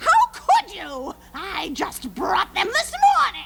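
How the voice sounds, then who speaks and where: In a cartoonish character voice, a woman squeaks at an extremely high pitch, swinging very widely in pitch at a very slow pace. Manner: commanding, scolding.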